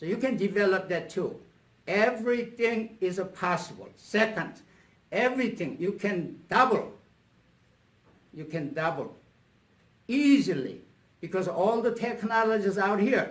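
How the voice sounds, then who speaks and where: A man with a high pitch speaks fairly slowly, with long, frequent pauses and ordinary pitch variation. Audible room echo is present. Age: 70s. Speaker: motivational speaker and coach. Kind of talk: talk to a club meeting.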